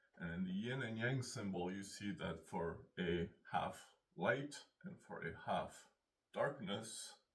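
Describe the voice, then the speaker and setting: Fairly slow, somewhat breathy delivery with lively intonation. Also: man, fairly low pitch for a man. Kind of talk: philosophical monologue. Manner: halting.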